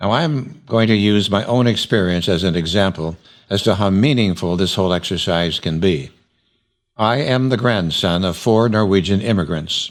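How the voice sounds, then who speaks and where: A man with a plain, everyday voice speaks at a moderate pace and fairly low pitch, with ordinary pitch variation and very even loudness, on a very clean recording with a silent background. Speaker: oral history interviewer. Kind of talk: documentary narration.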